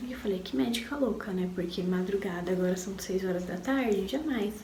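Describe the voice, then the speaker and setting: A voice with ordinary pitch variation comes through over noticeable background noise. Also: woman. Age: 20s. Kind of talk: personal story told to camera. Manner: casual, emotional.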